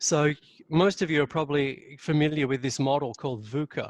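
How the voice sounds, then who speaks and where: A man with an Australian accent and a fairly high pitch at a moderate pace, in a dry, close sound with no echo. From Australia, Sydney. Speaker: leadership consultant. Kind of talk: webinar presentation. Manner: speaks from chest voice.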